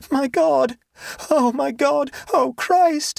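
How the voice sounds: A high, shaky, put-on character voice carries the lines.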